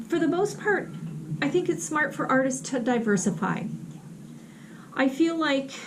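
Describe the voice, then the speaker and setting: A woman with a high pitch speaks at a moderate pace, her voice swinging very widely and broken by long, frequent pauses. Audible room echo and noticeable background noise fill the recording. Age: 60s. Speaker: artist and vlogger. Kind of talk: casual vlog talk while painting. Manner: hesitant, many fillers.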